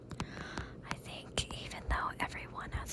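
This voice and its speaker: Noticeable background noise is present. Under it, a woman whispers at a very slow pace. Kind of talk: ASMR whisper rambling. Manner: whispered, soft-spoken, slow.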